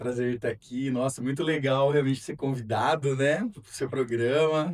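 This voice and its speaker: A man speaks at a fairly slow pace. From São Paulo, Brazil. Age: 40s. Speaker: single father sharing his story. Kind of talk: personal testimony in interview. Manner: hesitant, many fillers.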